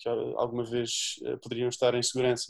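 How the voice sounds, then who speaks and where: A man's voice sits at a medium pitch and moves along at a moderate pace. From Portugal, Azambuja (Lisbon area). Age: 20s. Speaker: humanitarian volunteer and activist, doctoral student. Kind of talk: interview. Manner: halting, many repeated words and fillers.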